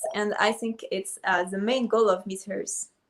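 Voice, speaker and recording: Speaking fairly slowly with a French accent, a woman keeps her fairly high pitch at a fairly even intonation. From Ivory Coast. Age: 20s. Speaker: beauty pageant contestant. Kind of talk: video call interview. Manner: halting.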